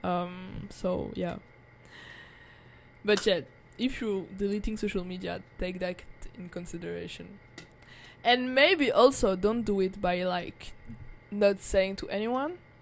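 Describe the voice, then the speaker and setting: Fairly slow speech in a French accent, with ordinary pitch variation, long, frequent pauses and big swings in loudness. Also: woman, medium pitch for a woman. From France, Paris. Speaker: vlogger. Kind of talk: casual monologue. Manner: filler-heavy, halting.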